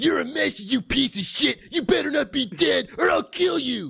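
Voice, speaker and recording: Putting on a character voice, a man speaks at an extremely high pitch in a raised, projected voice at a moderate pace. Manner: angry, aggressive.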